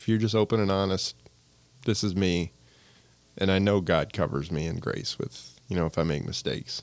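Speaking at a moderate pace with an American accent, the voice shows ordinary pitch variation and long, frequent pauses. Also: man, very deep, low pitch for a man. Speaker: local business owner. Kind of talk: casual chat.

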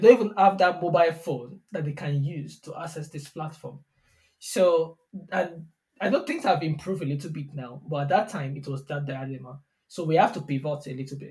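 A man with a Nigerian accent and a fairly high pitch speaks at a fairly quick pace, with ordinary pitch variation and big swings in loudness. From southwestern Nigeria. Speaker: software engineer, tech company CTO. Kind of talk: interview conversation. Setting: studio.

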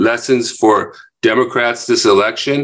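A man is speaking. His pace is moderate. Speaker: podcast host and coalition founder. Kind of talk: political talk show. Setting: video call.

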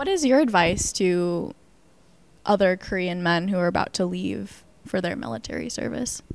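A woman has an unremarkable speaking voice at a medium pitch. Her intonation is lively and her pace moderate. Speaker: student podcast co-host and reporter. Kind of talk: news podcast narration and interview.

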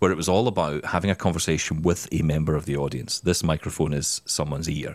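A man with a Scottish accent talks at a fairly quick pace. The recording is very clean, with a silent background. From Scotland. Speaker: podcast host, former radio presenter. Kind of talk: casual chat.

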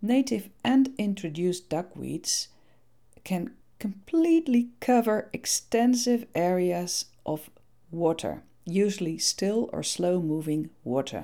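A woman with a Dutch accent, fairly low in pitch, very slow, with lively intonation. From Netherlands. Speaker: podcast host on eco-friendly gardening. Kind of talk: scripted narration.

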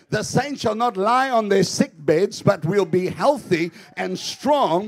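A man talks at a fairly slow pace in a high pitch, with very wide pitch swings. Noticeable background noise is heard behind him. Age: 50s. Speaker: pastor. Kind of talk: sermon. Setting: church. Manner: animated.

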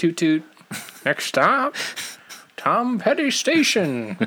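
This put-on character voice sits at a fairly high pitch and moves at a very slow pace. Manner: jolly, folksy.

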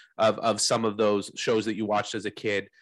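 A normal speaking voice with a Canadian accent moves at a fairly quick pace over a quiet background. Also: man. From Canada. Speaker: podcast host. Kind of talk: casual interview.

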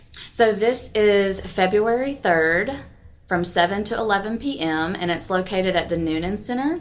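A woman with an American accent speaks fairly slowly at a medium pitch. Noticeable background noise is present. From Georgia, US South (Milledgeville). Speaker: service league public relations officer. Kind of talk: casual interview. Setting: office.

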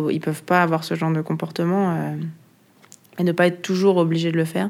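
With monotone, flat intonation, a woman talks in a fairly low pitch. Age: 30s. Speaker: bike workshop worker. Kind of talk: casual interview.

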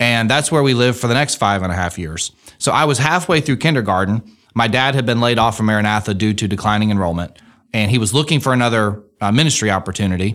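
A man talks at a very fast pace with medium pitch and ordinary pitch variation. The recording is very clean, with a silent background. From Alabama, Muscle Shoals. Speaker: state auditor, politician. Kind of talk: interview, personal story.

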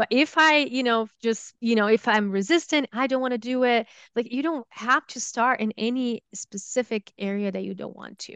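A woman with a Brazilian accent at a moderate pace and fairly high pitch, with ordinary pitch variation, big swings in loudness, and a dry, close sound with no echo against a quiet background. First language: Portuguese. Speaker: holistic health coach and yoga teacher. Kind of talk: interview conversation.

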